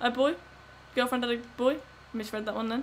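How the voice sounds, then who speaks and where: A woman's high-pitched voice at a very fast pace. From West Midlands, Wolverhampton. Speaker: gaming streamer. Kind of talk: live gameplay commentary and chat. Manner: animated.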